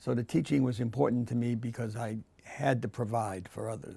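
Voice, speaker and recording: Speaking at a moderate pace, a man talks with a Boston accent. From Massachusetts, Quincy. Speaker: art professor. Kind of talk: interview. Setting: art studio.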